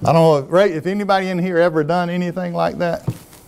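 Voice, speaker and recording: A man talks in a Southern US accent. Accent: Southern US (Georgia). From US South (Americus, Georgia). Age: 60s. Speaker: former technology executive. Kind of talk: talk to an audience.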